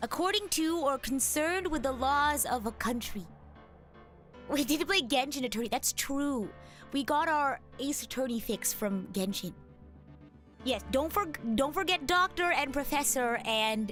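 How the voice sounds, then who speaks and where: Over music in the background, a woman with a high pitch and lively intonation speaks at a fairly slow pace. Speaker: VTuber streamer. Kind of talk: casual live-stream talk.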